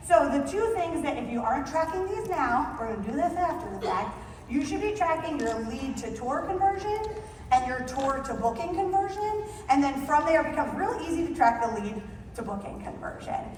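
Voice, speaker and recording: A woman's high-pitched, animated voice at a fairly quick pace, with very wide pitch swings, audible room echo and noticeable background noise. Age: 40s. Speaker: conference speaker, wedding venue sales expert. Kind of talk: conference presentation. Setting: stage with audience. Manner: very fast.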